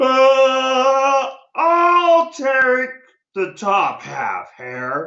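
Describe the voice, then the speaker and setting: Put-on character voice, pitched high. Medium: read story. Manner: slow, drowsy.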